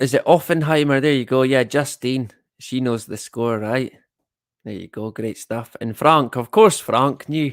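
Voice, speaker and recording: A man with a northeast Scottish accent and medium pitch, ordinary pitch variation, big swings in loudness and a fairly slow pace, on a very clean recording with a silent background. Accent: north-east Scottish (Doric). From Scotland, Elgin (Moray, north-east). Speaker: live-stream host. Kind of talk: casual live-stream chat reading comments. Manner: slangy, casual; hesitant, many fillers.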